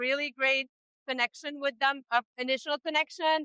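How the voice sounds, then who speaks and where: With a raised, projected voice, a woman speaks at a high pitch in a bright, sharp tone, with ordinary pitch variation and a dry, close sound with no echo. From Egypt. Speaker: family support staff and parent. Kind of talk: interview.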